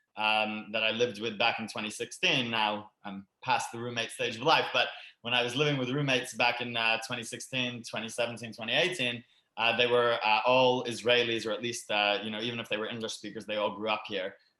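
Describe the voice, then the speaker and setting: With a Canadian accent, a man talks at a fairly quick pace in a bright, sharp tone, his medium pitch held in fairly even intonation. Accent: sounds Canadian rather than Australian. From Sydney, Australia and Canada. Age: 20s. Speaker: immigrant to Israel, former teacher. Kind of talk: online panel, personal story. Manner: hesitant, many fillers.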